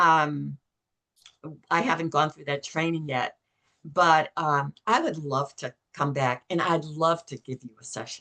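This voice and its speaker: A woman with a very deep, low pitch speaks in a bright, sharp tone at a fairly slow pace. Her pitch varies in an ordinary way, with long, frequent pauses and big swings in loudness. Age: 70s. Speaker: belief coding facilitator. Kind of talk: casual interview chat.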